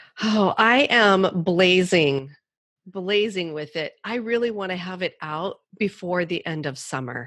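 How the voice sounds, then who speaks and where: A woman's plain, everyday voice, medium in pitch, with lively intonation. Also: fairly slow pace. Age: 50s. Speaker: podcast host and author. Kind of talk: interview.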